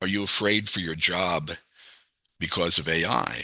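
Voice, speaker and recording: Against a quiet background, the bright, sharp voice moves with ordinary pitch variation. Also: man. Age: 70s. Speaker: software developer and tech presenter. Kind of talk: technical presentation over video call. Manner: casual, many filler words.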